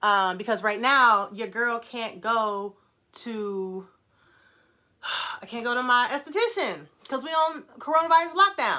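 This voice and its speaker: An animated, excited woman with an American accent speaks high and bright, with a sharp tone and lively intonation. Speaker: natural hair brand founder and livestream host. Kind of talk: casual live chat with viewers.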